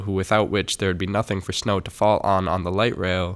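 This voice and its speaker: An ordinary speaking voice with an American accent, at a moderate pace, on a very clean recording with a silent background. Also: man. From Minneapolis, USA. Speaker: spoken word poet. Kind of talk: spoken word poetry performance.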